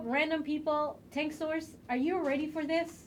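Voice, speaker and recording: The speaker has a strong Mexican accent. The pace is fairly slow. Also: woman. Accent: thick Mexican. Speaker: game community livestream host. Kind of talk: live stream chat. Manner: animated.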